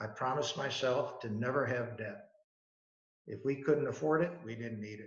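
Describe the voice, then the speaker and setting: Amid audible room echo, a man speaks at a moderate pace in a somewhat breathy, medium-pitched voice with lively intonation. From Buffalo, New York, US. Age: 80s+. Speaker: business founder. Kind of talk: talk to students.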